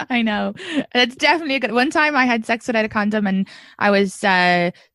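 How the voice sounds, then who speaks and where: A woman speaks in an Irish accent at a moderate pace. Her intonation is lively, and the sound is dry and close with no echo. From Ireland. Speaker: comedian. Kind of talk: casual chat. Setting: video call. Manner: animated.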